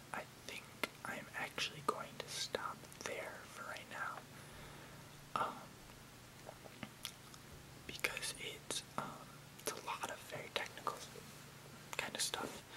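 Whispering and soft-spoken, the speaker goes at a very slow pace with long, frequent pauses over noticeable background noise. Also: man. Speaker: video creator. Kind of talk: casual explanatory vlog, reading technical text. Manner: soft close whisper. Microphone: webcam.

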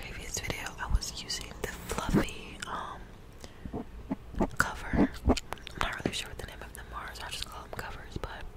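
The speaker is whispering. The pace is moderate. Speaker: ASMR creator. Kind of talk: casual vlog chat. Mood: reflective, talking about anxiety. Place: home room. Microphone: studio mic.

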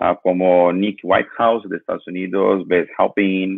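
A man speaks at a very slow pace. The sound is dry with no echo, and the background is quiet. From Brazil. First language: Portuguese (speaking Spanish). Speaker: lighting designer; guest. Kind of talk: interview. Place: home room. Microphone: video call.

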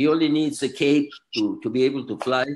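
A man speaks with a Spanish accent and lively intonation. There is light background noise. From Mexico City, Mexico; Mexico. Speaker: author and attorney; attorney. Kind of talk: interview. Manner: halting, repeats words. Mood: warm, courteous. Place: office. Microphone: video call.

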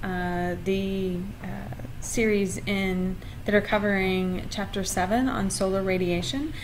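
A woman talks over light background noise. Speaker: university lecturer. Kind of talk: lecture. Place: home room. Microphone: webcam.

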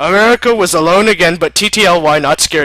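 Reading aloud, plainly

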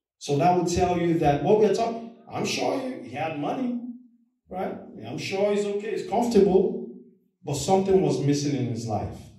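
An animated tone with very wide pitch swings at a moderate pace, quiet background and audible room echo. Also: man, high pitch for a man. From Nigeria. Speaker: lay preacher. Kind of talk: sermon. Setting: church. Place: church. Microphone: camera far.

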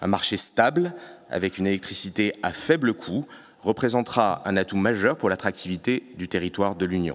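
This man's pitch is fairly low and his pace is moderate. The background is quiet. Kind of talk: conference speech. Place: hall. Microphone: podium.

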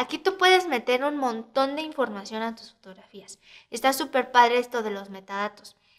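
A woman's high-pitched voice at a moderate pace, with lively intonation and big swings in loudness. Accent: Mexican. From Mexico City. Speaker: photographer and editing tutor. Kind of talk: tutorial. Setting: screen recording. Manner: casual, hesitant fillers.

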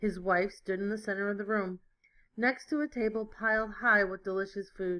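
The text is read aloud plainly. Its intonation remains fairly even.

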